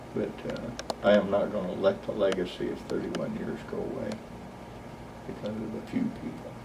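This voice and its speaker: A man with an American accent at a moderate pace, with long, frequent pauses, noticeable background noise and audible room echo. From Oklahoma. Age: 60s. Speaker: flight instructor. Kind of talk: oral history interview.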